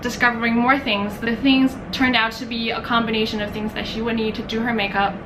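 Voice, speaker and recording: A woman's fairly high voice, fairly quick and fairly even in intonation, with audible room echo and noticeable background noise. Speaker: beauty vlogger. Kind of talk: haul video monologue. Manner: rambling, halting.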